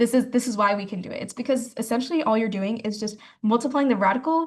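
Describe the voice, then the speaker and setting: A somewhat breathy woman with an American accent, fairly high pitch, ordinary pitch variation, and a very fast pace. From US South, Georgia. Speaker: math tutor. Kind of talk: online class lecture. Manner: casual, filler-heavy.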